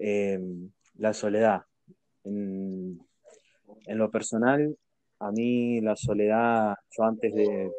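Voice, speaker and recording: A man's fairly low voice in a Rioplatense accent, very slow, with fairly even intonation and long, frequent pauses. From Argentina. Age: 20s. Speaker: streamer and podcast host. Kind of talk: casual chat.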